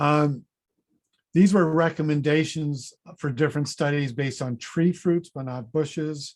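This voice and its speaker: An ordinary speaking voice comes at a fairly slow pace. The intonation stays fairly even. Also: man, fairly high pitch for a man. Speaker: fruit researcher, professor. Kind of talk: conference presentation.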